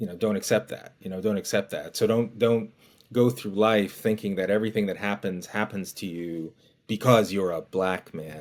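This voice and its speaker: Very clean recording with a silent background, a man in a normal speaking voice, fairly low in pitch with fairly even intonation. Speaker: podcast host. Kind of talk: interview conversation.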